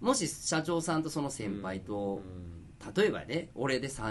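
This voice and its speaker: With a Kansai accent, a man speaks at a medium pitch, his pitch swinging very widely. Noticeable background noise and audible room echo fill the recording. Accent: Kansai (Osaka) dialect. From Osaka. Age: 40s. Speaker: fashion designer and podcast co-host. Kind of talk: casual chat.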